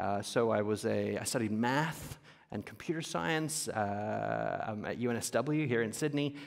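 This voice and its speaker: Heard with audible room echo, a man with a medium pitch speaks in a lively intonation. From Papua New Guinea. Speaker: entrepreneur, company founder. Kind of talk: on-stage interview. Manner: many fillers, halting.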